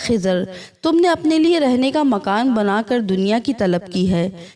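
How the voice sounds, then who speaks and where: Her tone dark and mellow, a woman speaks at a fairly high pitch with very wide pitch swings. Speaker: voice-over artist. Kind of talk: religious story narration.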